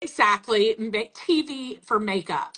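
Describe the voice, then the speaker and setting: A woman with a strong Southern US accent. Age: 40s. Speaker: makeup brand representative. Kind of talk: casual chat.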